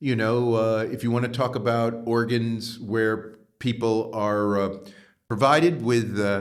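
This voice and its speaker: Fairly slow, fairly even speech with an American accent, amid audible room echo. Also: man, medium pitch for a man. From US Northeast, New York. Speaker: professor. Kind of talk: interview. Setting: podcast. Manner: many hesitations and fillers.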